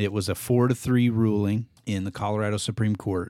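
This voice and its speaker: A man's fairly low voice in an American accent, monotone and flat, at a moderate pace, on a very clean recording with a silent background. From US Midwest. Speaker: podcast host. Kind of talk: casual chat. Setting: home man cave set.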